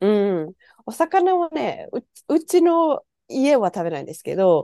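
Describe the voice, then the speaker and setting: A woman's dark, mellow tone, very wide pitch swings and a fairly slow pace, dry and close with no echo. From Japan. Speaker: podcast guest living abroad. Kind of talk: casual chat.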